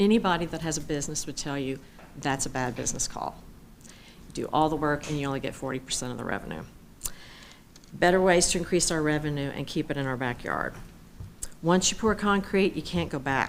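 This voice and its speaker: In a room with audible echo, a woman with a very deep, low pitch talks fairly quickly with ordinary pitch variation and long, frequent pauses. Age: 60s. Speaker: public commenter at city council. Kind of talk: public comment speech. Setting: city council meeting.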